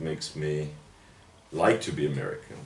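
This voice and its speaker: With audible room echo around him, a man with a German accent speaks at a moderate pace. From Germany, Bavaria (Würzburg). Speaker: literary critic and professor. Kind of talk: interview. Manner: hesitant, many fillers.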